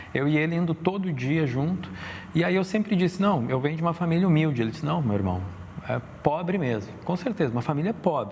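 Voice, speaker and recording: His pace is very fast. A man is speaking. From Brazil, Rio Grande do Sul north coast (Torres). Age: 40s. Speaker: illustrator and entrepreneur. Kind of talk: interview conversation. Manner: hesitant, many fillers.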